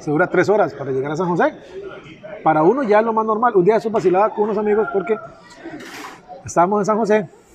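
Crowd noise fills the background as a man talks in a high voice at a very fast pace. His intonation is lively, broken by long, frequent pauses. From Costa Rica, southern region. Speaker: podcast host, digital marketing agency. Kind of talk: casual chat. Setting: outside the office, relaxed setting.

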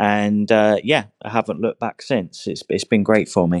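With a southern English accent, a man speaks at fairly low pitch and moderate pace, the sound dry and close with no echo and the background quiet. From southern England, Hampshire. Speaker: online English teacher. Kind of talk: interview. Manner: halting, many repetitions and fillers.

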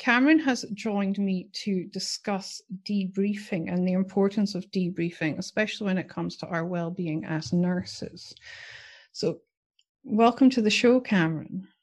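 Against a quiet background, a woman talks at a moderate pace and medium pitch, her voice somewhat breathy, with ordinary pitch variation. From UK. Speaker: podcast host and nurse educator. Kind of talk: casual interview.

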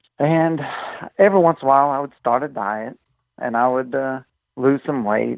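With an American accent, a man speaks at medium pitch and a moderate pace, using ordinary pitch variation. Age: 40s. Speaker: mechanic. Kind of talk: interview conversation.

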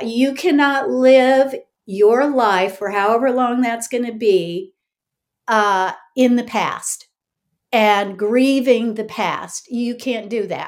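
A woman at fairly high pitch with ordinary pitch variation and a very slow pace, in a very clean recording with a silent background. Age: 60s. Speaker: author and ministry teacher. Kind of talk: personal testimony in interview.

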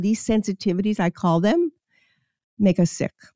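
In a very clean recording with a silent background and a dry, close sound without echo, a woman with an American accent speaks at a moderate pace in a dark, mellow tone. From New York, Queens. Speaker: chiropractor. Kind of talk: interview.

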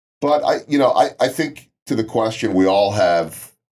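With an unremarkable speaking voice, a man talks at a fairly quick pace using lively intonation. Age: 50s. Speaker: sports television broadcaster and motivational speaker. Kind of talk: casual interview.

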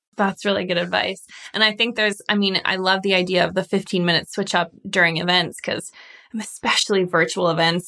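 Bright and sharp in tone, a woman talks at a fairly quick pace and medium pitch with monotone, flat intonation. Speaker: podcast host. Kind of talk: interview.

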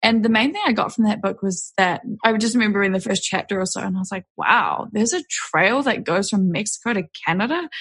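A woman with a New Zealand accent talks at a fairly quick pace with hardly any pauses. Her pitch is fairly high, with ordinary variation. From New Zealand, West Auckland. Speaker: hiker and filmmaker. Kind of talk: casual chat. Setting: remote call.

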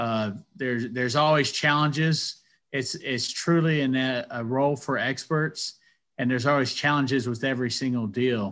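A man at a medium pitch and moderate pace with an American accent and fairly even intonation, on a very clean recording with a silent background. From US South, Athens, Georgia. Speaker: commercial real estate broker and engineer. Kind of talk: interview. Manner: halting, many fillers.

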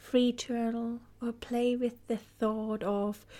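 A woman speaks in a calm, soothing tone. Her voice is dark and mellow. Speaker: podcast host and guide. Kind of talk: guided meditation. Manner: slow, calm, soothing; gentle, soft-spoken, with long pauses.

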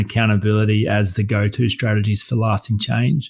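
In an Australian accent, a man speaks at fairly low pitch with fairly even intonation on a very clean recording with a silent background. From rural Australia. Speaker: coach and workshop facilitator. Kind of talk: casual interview conversation. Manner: plain-spoken, concise.

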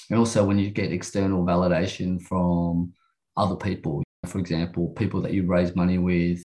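Fairly quick in pace, this man with an Australian accent has a very deep, low pitch, a dark, mellow tone and fairly even intonation. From Sydney, Australia (western suburbs). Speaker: entrepreneur. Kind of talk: interview.

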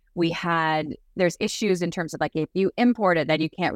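A woman's very deep, low voice with a Canadian accent, dry and close with no echo, on a very clean recording with a silent background. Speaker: condom company founder. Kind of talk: casual interview.

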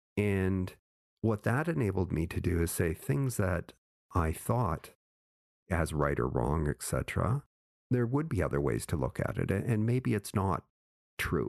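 A man with a very deep, low pitch and vocal fry, very wide pitch swings, very even loudness, a fairly slow pace and long, frequent pauses, in a dry, close sound with no echo over a quiet background. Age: 60s. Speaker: author and former consultant. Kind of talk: interview.

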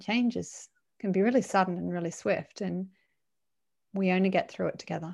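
On a very clean recording with a silent background, a woman with an Australian accent speaks at a fairly quick pace. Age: 40s. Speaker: LinkedIn profile writer and trainer. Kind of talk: interview.

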